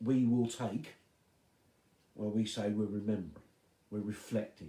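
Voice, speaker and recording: A soft-spoken man talks in a dark, mellow tone at a fairly low pitch. His intonation is monotone and flat, and his pace is moderate. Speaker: pastor. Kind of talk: devotional talk.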